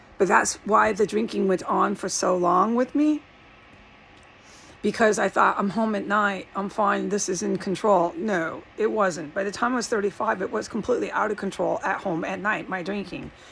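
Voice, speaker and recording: A woman of medium pitch at a moderate pace with ordinary pitch variation, amid noticeable background noise. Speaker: video blogger. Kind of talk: casual monologue vlog. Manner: rambling, pivoting often.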